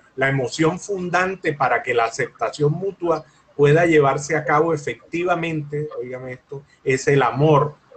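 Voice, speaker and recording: A man with a fairly high voice holds his intonation rather level as clear background noise carries on. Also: moderate pace. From Colombia. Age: 60s. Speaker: lawyer and mediator. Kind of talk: interview.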